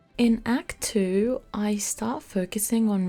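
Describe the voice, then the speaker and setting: A speaker with a non-native accent talks over music in the background. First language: not English. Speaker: gaming video creator. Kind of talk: gameplay commentary. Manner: casual.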